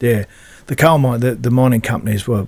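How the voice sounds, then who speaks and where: An Australian-accented male voice, its intonation fairly even throughout. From Queensland, Australia. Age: 50s. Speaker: rugby league club CEO, former player. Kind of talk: interview. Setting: studio. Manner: halting.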